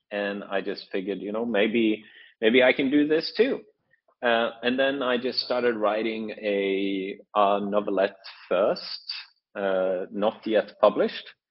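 Speaking with a Norwegian accent, a man keeps a fairly slow pace and a fairly low pitch with ordinary pitch variation. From Norway. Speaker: author. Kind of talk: interview. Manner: halting, many fillers.

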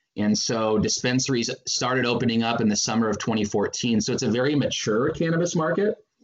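A man with an American accent and a plain, everyday voice speaks at a fairly quick pace and medium pitch, with very even loudness and hardly any pauses. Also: ordinary pitch variation. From Northern California. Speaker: advertising agency co-founder. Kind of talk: interview.

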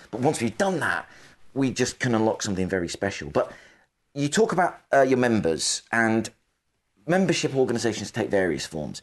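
With vocal fry and a medium pitch, a man speaks at a fairly quick pace, his pitch swinging very widely. The background is quiet. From northwest England. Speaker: podcast host. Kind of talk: interview.

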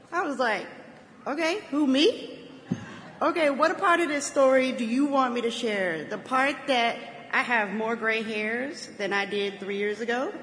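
Through noticeable background noise, a woman with a high pitch and lively intonation speaks at a fairly slow pace. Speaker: convention speaker. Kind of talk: speech.

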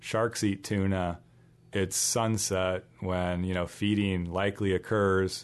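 Over a quiet background, a man with an unremarkable speaking voice talks at a fairly slow pace in a fairly low pitch with fairly even intonation. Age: 30s. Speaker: conservation biologist and teacher. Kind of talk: casual interview.

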